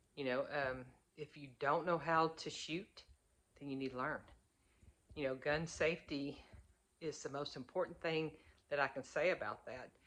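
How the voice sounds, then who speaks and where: Speaking with an Arkansas accent, a woman with very deep, low pitch keeps her intonation fairly even at a moderate pace with long, frequent pauses. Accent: Southern US (Arkansas). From US South, Arkansas. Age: 50s. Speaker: prepper vlogger. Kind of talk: casual talk to camera.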